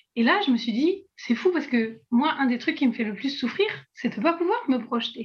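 The woman's voice sits high in pitch. Her intonation rises and falls in a lively way. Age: 20s. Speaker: artist and illustrator with chronic illness. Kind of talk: casual interview. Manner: hesitant, many fillers.

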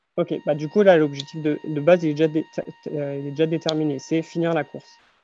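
With music in the background, a man talks at a moderate pace. His pitch is fairly high and his intonation fairly even. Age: 30s. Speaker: mental coach and runner. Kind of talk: casual interview.

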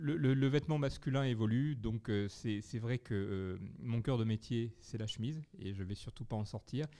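A man speaks at a medium pitch with a dark, mellow tone and ordinary pitch variation. His pace is fairly slow, with hardly any pauses. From southwest France, Bergerac. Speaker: bespoke shirt company founder. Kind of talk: interview. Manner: hesitant, repeats words.

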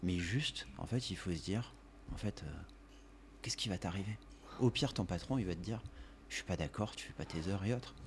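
A man with a very deep, low voice and vocal fry talks at a fairly quick pace. His intonation is lively, broken by long, frequent pauses. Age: 40s. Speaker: company director and gym member. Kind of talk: casual interview chat.

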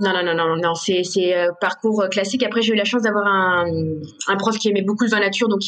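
At a fairly quick pace, a woman speaks in a monotone, flat way over noticeable background noise. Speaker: sommelier and restaurant owner. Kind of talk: interview. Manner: spontaneous, halting with fillers; passionate.

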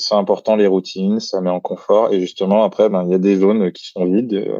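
A man's fairly low, dark and mellow voice against a quiet background. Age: 30s. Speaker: creativity consultant and author. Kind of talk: interview. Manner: hesitant with many fillers.

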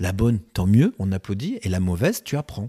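With a dark, mellow tone and a fairly low pitch, a man talks at a moderate pace and ordinary pitch variation, the sound dry and close with no echo. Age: 50s. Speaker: real estate agency founder. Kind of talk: casual chat.

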